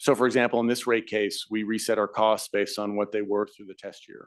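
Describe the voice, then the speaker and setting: A man's medium-pitched voice over a quiet background. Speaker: utility company executive testifying as witness. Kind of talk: hearing testimony under questioning. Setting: regulatory hearing room, live streamed. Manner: fast.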